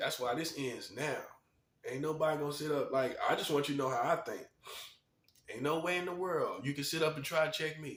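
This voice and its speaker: A fairly quick pace broken by long, frequent pauses. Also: man, fairly high pitch for a man. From North Carolina. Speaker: video commentator, self-styled prophet. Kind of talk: monologue rant to camera. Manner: animated, emphatic and repetitive.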